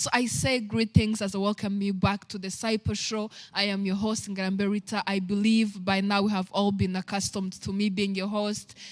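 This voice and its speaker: At a moderate pace and with hardly any pauses, a woman speaks at medium pitch in a monotone, flat intonation. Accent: Rwandan. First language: Kinyarwanda. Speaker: talk show host. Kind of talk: inspirational talk. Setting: live stream.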